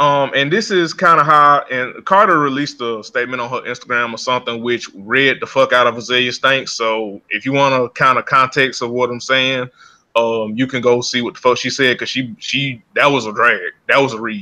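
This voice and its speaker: With a strong Southern US accent and a bright, sharp tone, a man talks at a moderate pace and medium pitch, with ordinary pitch variation and hardly any pauses. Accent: heavy Southern US. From US South. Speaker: podcast co-host. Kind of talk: casual chat.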